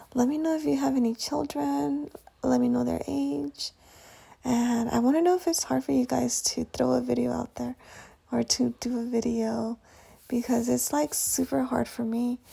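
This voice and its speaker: A woman is whispering. Her pace is moderate. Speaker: nail art tutorial creator. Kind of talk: tutorial. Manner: casual.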